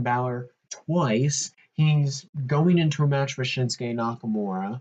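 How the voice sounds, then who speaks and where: A man's voice, pitched in the middle range with ordinary variation in pitch, comes across somewhat breathy. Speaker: wrestling podcast host. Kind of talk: solo podcast commentary. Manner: animated.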